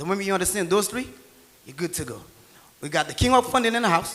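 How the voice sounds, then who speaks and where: Amid noticeable background noise, a man with a Haitian accent talks at a very fast pace in a high pitch, with lively intonation and an animated tone. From rural Haiti. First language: Haitian Creole. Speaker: tax and real estate entrepreneur. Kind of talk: motivational seminar talk. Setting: stage with audience.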